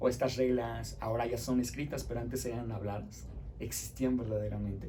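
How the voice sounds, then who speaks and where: Fairly quick speech from a man, audible room echo and noticeable background noise around him. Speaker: teacher. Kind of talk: lecture. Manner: fast.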